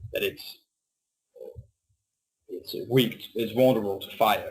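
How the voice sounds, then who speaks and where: Words come from a man at a medium speed. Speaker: tabletop role-playing gamer, interview guest. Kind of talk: casual interview. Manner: halting, many fillers and repetitions.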